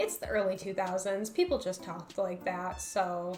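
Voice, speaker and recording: A woman talks at a moderate pace with music playing behind her. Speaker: YouTuber. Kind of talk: video essay narration.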